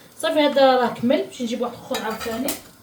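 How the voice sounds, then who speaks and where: A woman talks at a fairly quick pace with a high pitch. Audible room echo and noticeable background noise surround her voice. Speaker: home cooking vlogger. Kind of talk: cooking tutorial vlog. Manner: casual, chatty.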